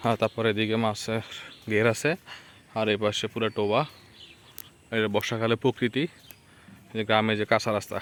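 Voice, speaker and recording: Dry, close sound with no echo around a man of medium pitch with monotone, flat intonation. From Bangladesh, Lakshmipur. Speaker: village vlogger. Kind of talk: walking vlog narration. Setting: outdoors on a muddy village road.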